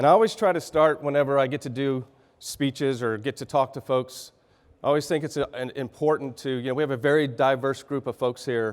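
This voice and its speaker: A man speaks with a Texan accent and a fairly high pitch. His pitch variation is ordinary. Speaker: business executive. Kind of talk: keynote speech. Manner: halting, clearing throat.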